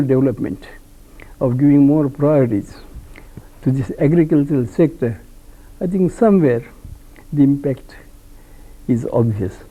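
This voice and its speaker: A man with a fairly high pitch and a dark, mellow tone speaks at a moderate pace with lively intonation. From India, Maharashtra. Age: 80s+. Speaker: veteran politician and freedom fighter. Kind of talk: interview.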